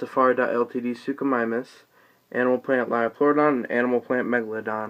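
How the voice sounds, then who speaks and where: Over a quiet background, a man speaks at a very fast pace in a monotone, flat intonation. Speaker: toy collector showing collection. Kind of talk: collection showcase. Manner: subdued, low energy; halting with fillers. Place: home room. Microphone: phone near.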